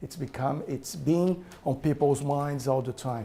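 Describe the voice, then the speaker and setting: In a dark, mellow tone, a man talks with a non-native accent. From Brazil. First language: Portuguese. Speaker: author and business owner. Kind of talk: talk to an audience. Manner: animated.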